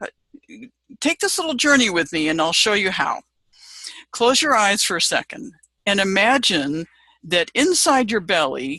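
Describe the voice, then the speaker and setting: With a bright, sharp tone and very wide pitch swings, a woman speaks at a medium pitch and moderate pace in a dry, close sound with no echo. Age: 70s. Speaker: business coach. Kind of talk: casual video talk with guided visualization. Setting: Facebook live video.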